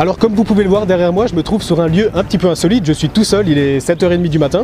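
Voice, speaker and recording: Someone with an Alsatian accent talks at a very fast pace with ordinary pitch variation, amid noticeable background noise. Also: man, high pitch for a man. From Alsace, France. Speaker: YouTuber, history and travel channel. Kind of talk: vlog presentation. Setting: outdoors at castle ruins, early morning. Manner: casual, with hesitations.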